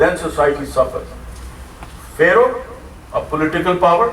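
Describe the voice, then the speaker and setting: A man with a high pitch speaks amid noticeable background noise and audible room echo. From Pakistan. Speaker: preacher. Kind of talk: sermon.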